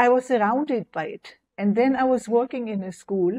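A woman's dark, mellow tone in a German accent, over a quiet background. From West Germany. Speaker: near-death experience survivor and author; interview guest. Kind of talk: interview testimony. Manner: halting. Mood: calm, reflective. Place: home room. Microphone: lapel.

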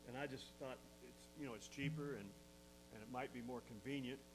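There is music in the background as a man speaks. His pitch is fairly low and his pace moderate. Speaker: pastor. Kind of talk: sermon. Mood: warm, lightly joking. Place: church. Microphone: lapel.

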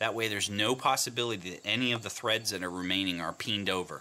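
Fairly quick and fairly low in pitch, a man talks in an unremarkable speaking voice with fairly even intonation. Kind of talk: tutorial. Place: workshop.

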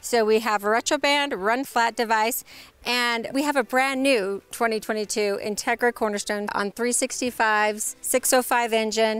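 At a fairly slow pace, a woman speaks with ordinary pitch variation in a dry sound with no echo. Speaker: company sales director, host. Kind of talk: promotional presenter talk. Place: street.

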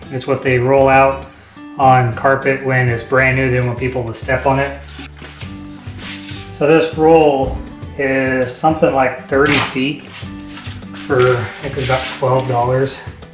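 A man speaks over clear background music, with audible echo from the room. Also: ordinary pitch variation, fairly slow pace. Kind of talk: tutorial. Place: kitchen.

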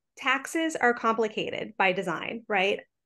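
Lively intonation from a woman with a high, bright, sharp voice, fairly slow pace, quiet background. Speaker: tax justice advocate; presenter. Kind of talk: panel presentation. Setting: video call. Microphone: webcam.

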